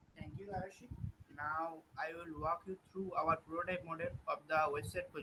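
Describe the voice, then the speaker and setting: A man with a Bengali accent speaks in a high voice with fairly even intonation. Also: moderate pace. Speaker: student presenter. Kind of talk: product demo. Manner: quiet.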